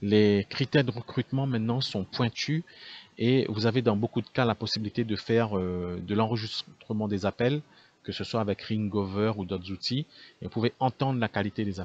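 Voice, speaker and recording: Intonation stays fairly even at a moderate pace. The sound is dry and close, with no echo. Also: man, fairly low pitch for a man. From Réunion. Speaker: call center owner. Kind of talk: business talk to camera. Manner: unscripted, many hesitations.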